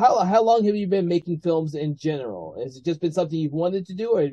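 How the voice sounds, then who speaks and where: With a dark, mellow tone and a fairly high pitch, a man talks at a very fast pace with ordinary pitch variation against a quiet background. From United States. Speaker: film festival host and founder; interview host. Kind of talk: interview; interview conversation. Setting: video call. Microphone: video call.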